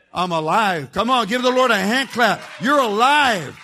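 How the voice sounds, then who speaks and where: Over crowd noise, a man with a high voice speaks in a raised, projected way. His pitch swings very widely, and his pace is fairly slow. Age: 70s. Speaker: jail chaplain, guest preacher. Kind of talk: sermon. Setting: church with congregation, livestreamed. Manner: animated.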